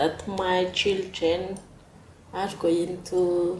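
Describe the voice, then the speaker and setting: A woman speaks very slowly at a medium pitch, with audible room echo. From Madagascar. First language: not English. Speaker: migrant mother. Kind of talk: interview. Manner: halting.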